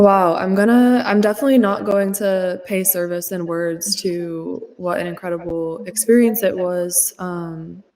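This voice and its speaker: With an American accent and a plain, everyday voice, a woman speaks at medium pitch and a fairly slow pace, her intonation fairly even. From United States. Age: 20s. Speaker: activist and freelance journalist. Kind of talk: interview.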